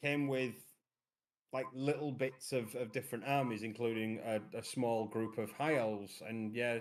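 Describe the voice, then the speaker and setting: The speaker talks at a moderate pace with a Yorkshire accent. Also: man. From Yorkshire, northern England. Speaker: miniature painting hobbyist guest. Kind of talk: casual chat. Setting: live stream.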